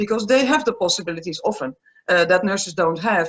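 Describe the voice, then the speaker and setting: With a Dutch accent, a woman speaks using ordinary pitch variation. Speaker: aromatherapist and palliative care nurse. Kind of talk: interview.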